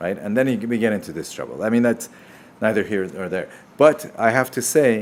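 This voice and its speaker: Talking at a fairly quick pace, a man with a Persian accent uses a medium pitch and ordinary pitch variation. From Iran. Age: 50s. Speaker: surgeon. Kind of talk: live Q&A. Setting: livestream.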